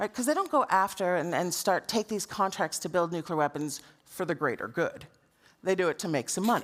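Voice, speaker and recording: With an American accent, a woman at a medium pitch speaks at a fairly quick pace, her tone animated and her intonation lively. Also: very clean recording, silent background. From United States. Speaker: anti-nuclear campaigner and speaker. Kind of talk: conference talk.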